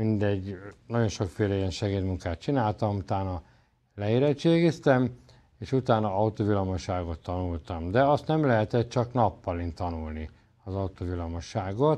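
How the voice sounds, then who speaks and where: A man speaks at a moderate pace, his fairly low voice dark and mellow in tone. His intonation is lively, and the background is quiet. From Hungary, Pécs; Hungary. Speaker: esoteric lecturer and healer; lecturer, TV show host. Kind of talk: autobiographical lecture. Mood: calm, reflective storytelling. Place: studio.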